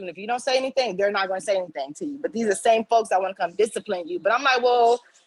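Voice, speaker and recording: Talking at a very fast pace, a woman sounds animated, her intonation lively. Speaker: campus service worker. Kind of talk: panel discussion. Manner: loud.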